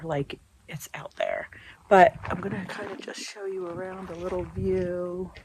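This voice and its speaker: Someone with an American accent talks at a fairly slow pace. Background noise is noticeable throughout. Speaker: RV travel vlogger. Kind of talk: casual vlog. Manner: soft-spoken.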